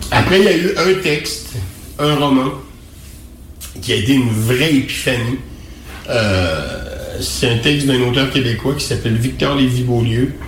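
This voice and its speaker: A man's medium-pitched voice with lively intonation at a fairly slow pace, long, frequent pauses, audible room echo and noticeable background noise. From Quebec. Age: 50s. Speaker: writer. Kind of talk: interview. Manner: halting.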